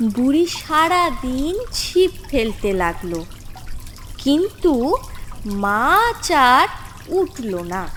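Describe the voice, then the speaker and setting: A woman speaks at a high pitch with very wide pitch swings, and noticeable background noise can be heard. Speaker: voice actor. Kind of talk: cartoon story narration.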